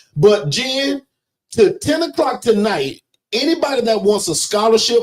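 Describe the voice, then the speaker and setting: Loud and animated in tone, a man talks with lively intonation. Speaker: business coach. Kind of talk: livestream sales pitch. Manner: loud and forceful.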